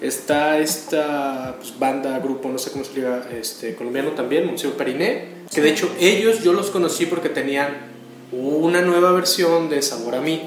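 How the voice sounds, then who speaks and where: Man with fairly high pitch, audible room echo and noticeable background noise. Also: ordinary pitch variation, moderate pace. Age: 30s. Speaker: music enthusiast guest. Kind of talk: radio interview. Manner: halting.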